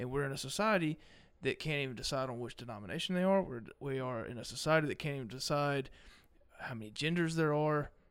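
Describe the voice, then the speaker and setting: A fairly high-pitched man with a Mississippi accent at a very fast pace, with ordinary pitch variation, on a very clean recording with a silent background. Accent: Mississippi Southern. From Mississippi, US South. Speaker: podcast guest, guitarist. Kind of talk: casual chat.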